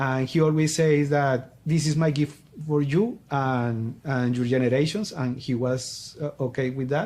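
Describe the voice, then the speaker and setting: Speaking fairly slowly with a Colombian accent, a man uses a fairly high pitch and ordinary pitch variation. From Colombia, Popayán. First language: Spanish. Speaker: business coach. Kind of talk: interview. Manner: halting.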